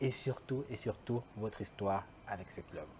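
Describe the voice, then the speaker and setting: A man's voice with ordinary pitch variation. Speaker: talk show host. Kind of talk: interview.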